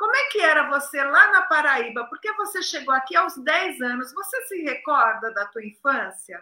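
At a moderate pace, a woman speaks in a raised, projected voice with a high pitch, very wide pitch swings and hardly any pauses. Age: 60s. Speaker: live show host. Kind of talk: casual interview on a live stream. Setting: video call live stream. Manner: animated.

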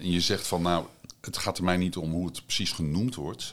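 A man speaks at a fairly quick pace with a very deep, low pitch. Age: middle-aged. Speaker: podcast host and psychiatric nurse. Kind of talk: interview conversation. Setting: on location at an institution.

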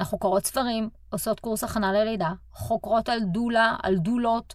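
Heard in a very clean recording with a silent background, a woman with a fairly high pitch speaks at a moderate pace. She has a plain, everyday voice with ordinary pitch variation. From Israel. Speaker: podcast host and relocation coach. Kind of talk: solo podcast monologue.

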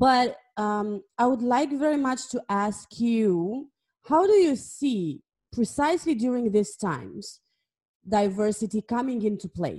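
A woman with a non-native accent speaks slowly-ish, her somewhat breathy, dark, mellow voice carrying lively intonation at a fairly slow pace. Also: fairly high pitch for a woman. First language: not English. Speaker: podcast host. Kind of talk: interview.

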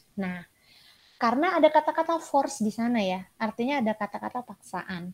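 A woman talks at a fairly quick pace in a somewhat breathy voice. The sound is dry and close with no echo. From Sumatra, Indonesia. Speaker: clinical psychologist and lecturer. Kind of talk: interview.

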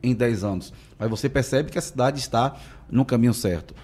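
A man speaks at a very fast pace in a medium pitch, with a dark, mellow tone and ordinary pitch variation. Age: 40s. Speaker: city councillor. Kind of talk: interview.

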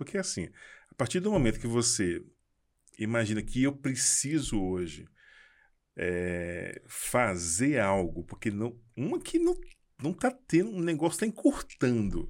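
A man talks at a fairly slow pace, with long, frequent pauses. His pitch swings very widely. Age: 50s. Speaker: architect and entrepreneur. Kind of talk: casual chat. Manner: halting, repeats words.

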